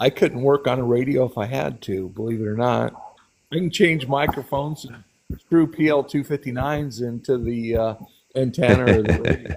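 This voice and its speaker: A man with an unremarkable speaking voice talks at a moderate pace and medium pitch, with ordinary pitch variation. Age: 60s. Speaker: CB radio hobbyist. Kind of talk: casual chat.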